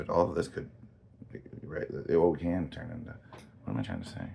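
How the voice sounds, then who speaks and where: A very deep, low-pitched man with an American accent, plus audible room echo. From Texas. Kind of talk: casual monologue. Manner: halting, rambling with many restarts.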